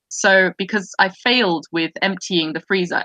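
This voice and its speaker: The woman's tone is bright and sharp. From Germany, central. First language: German (trilingual). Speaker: feminist discussion show host. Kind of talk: casual chat. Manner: halting, many repetitions and fillers.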